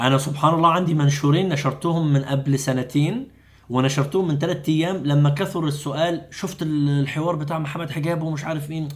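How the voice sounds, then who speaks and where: A man's somewhat breathy, fairly high-pitched voice at a moderate pace with hardly any pauses, in audible room echo. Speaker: doctor and Islamic preacher. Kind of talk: long-form interview. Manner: animated.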